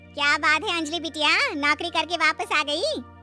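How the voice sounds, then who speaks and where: A woman in a cartoonish character voice at an extremely high pitch and moderate pace, with clear music in the background. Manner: familiar, coaxing.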